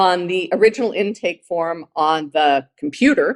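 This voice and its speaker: A woman's plain, everyday voice, fairly low and fairly slow, in a very clean, dry and close recording with a silent background and no echo. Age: 60s. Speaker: living kidney donor and author. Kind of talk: conference talk. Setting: virtual symposium.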